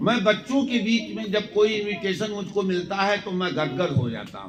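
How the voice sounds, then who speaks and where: A man's high-pitched voice with ordinary pitch variation, big swings in loudness, and noticeable background noise. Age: 70s. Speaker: retired lecturer. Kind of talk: speech to students.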